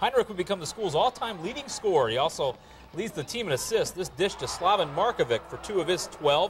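Over noticeable background noise, a man speaks in an animated tone with very wide pitch swings. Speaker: sports highlights anchor. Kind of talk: live play-by-play sports commentary voiceover over game highlights. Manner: animated, quick, punchy play-by-play calls; playful, joking banter between segments.

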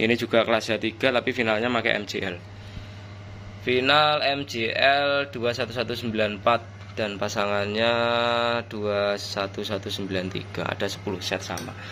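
A man with a fairly low pitch speaks at a very slow pace with fairly even intonation over light background noise. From East Java, Indonesia. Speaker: audio amplifier builder and seller; seller. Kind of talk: product review video. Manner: casual. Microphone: phone near.

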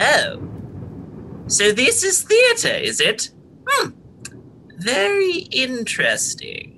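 In a put-on character voice with an extremely high pitch, the speaker goes at a very slow pace with long, frequent pauses.

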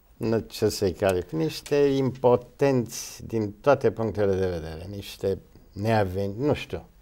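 Speaking at a fairly slow pace, a man has a fairly low pitch and a dark, mellow tone. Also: ordinary pitch variation. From Romania. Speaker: actor. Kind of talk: interview. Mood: reflective, at times scornful. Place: studio.

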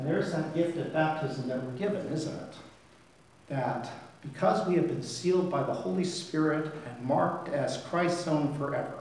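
A man talks at a moderate pace. Strong echo fills the room. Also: ordinary pitch variation. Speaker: priest. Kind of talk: sermon. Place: church.

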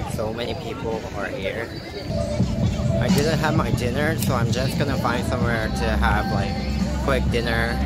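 At a moderate pace, this man talks over loud music in the background. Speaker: working holiday vlogger. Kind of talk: casual vlog chat. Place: street. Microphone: phone near.

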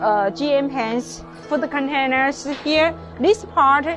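Over clear background music, a woman speaks at a very slow pace in a high pitch. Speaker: sales representative. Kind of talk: product demonstration. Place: factory.

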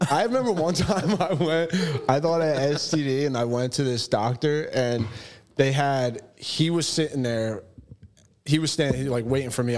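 A man speaks with an American accent at a moderate pace. His pitch sits in the medium range. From New Jersey. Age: 30s. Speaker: tattoo client; podcast guest. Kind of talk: casual chat. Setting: studio. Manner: animated, laughs often. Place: shop. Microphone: studio mic.

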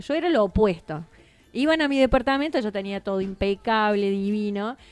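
A woman with an ordinary speaking voice talks at a moderate pace. Her fairly high pitch carries lively intonation. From Argentina, Córdoba province. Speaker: TV journalist and presenter; TV journalist, presenter. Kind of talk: radio interview. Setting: radio studio. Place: studio.

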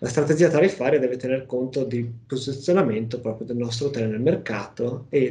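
A somewhat breathy man with a dark, mellow tone, a fairly quick pace and ordinary pitch variation. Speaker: software company presenter; presenter. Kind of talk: webinar presentation. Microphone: video call.

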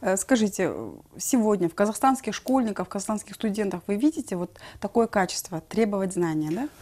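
The woman's voice sounds dark and mellow. She keeps up a fairly quick pace. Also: medium pitch for a woman, ordinary pitch variation. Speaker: TV host. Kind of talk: TV interview. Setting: studio. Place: studio.

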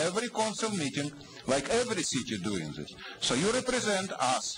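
Light background noise sits behind a man whose pitch swings very widely. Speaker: public commenter at city council, activist. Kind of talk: angry rant, accusatory public comment. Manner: insistent, indignant, repeating pointed questions; fiery, accusatory, blunt with broken grammar. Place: hall. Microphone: podium.

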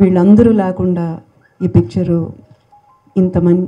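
Intonation stays fairly even while music plays in the background. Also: woman. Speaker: film actress. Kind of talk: public speech at film event. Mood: warm, grateful, soft-spoken. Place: hall. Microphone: handheld.

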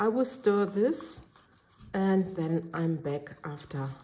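A woman with a German accent, lively intonation and a very slow pace. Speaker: resin art crafter. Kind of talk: tutorial. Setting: home studio. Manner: hesitant, filler-heavy.

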